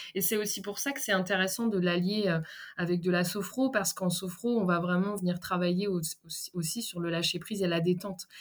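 A woman's plain, everyday voice at medium pitch, with fairly even intonation and a fairly quick pace. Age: 30s. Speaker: therapist and personal development coach. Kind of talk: interview.

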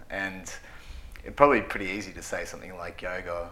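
A man speaks with an Australian accent at a fairly quick pace. His intonation stays fairly even. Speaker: podcast host. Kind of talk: interview.

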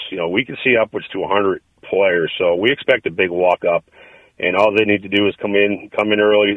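A man's fairly low-pitched, fairly quick delivery in a normal speaking voice. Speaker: indoor football team executive. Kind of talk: interview.

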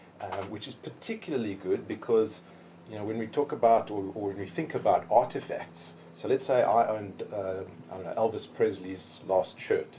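Speaking at a moderate pace, a man with a normal speaking voice and medium pitch uses lively intonation. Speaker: NFT entrepreneur. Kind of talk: casual interview. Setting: studio.

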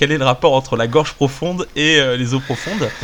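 Fairly high-pitched male voice against noticeable background noise. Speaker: podcast host. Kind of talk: casual chat.

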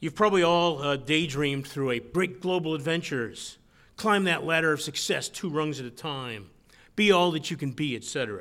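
A man's bright, sharp voice at a fairly high pitch, with ordinary pitch variation and a fairly quick pace, in a very clean recording with a silent background. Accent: Western New York. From Western New York, rural county near Buffalo. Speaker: author. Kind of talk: lecture.

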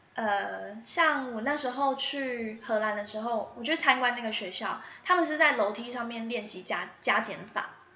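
With noticeable background noise and audible room echo, a woman speaks at a fairly high pitch, with ordinary pitch variation and hardly any pauses. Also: moderate pace. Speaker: preschool teacher and storytelling youtuber. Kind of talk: interview answers. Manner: animated.

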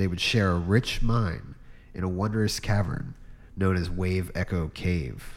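A man speaks at a fairly slow pace with a very deep, low pitch. His pitch variation is ordinary. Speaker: dungeon master. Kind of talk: casual chat.

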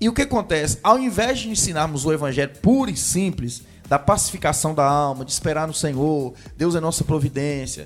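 Here a man has an ordinary speaking voice at a fairly high pitch. He talks at a fairly quick pace with lively intonation. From Brazil, Jequitinhonha Valley (Minas Gerais). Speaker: pastor. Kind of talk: casual chat.

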